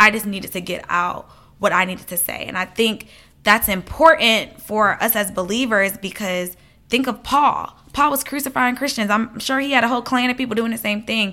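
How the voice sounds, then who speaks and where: A woman with an American accent speaks at a moderate pace in a fairly high pitch, with ordinary pitch variation and an ordinary speaking voice. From US South, Atlanta (Liberian family). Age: 20s. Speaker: ministry founder. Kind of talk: interview testimony.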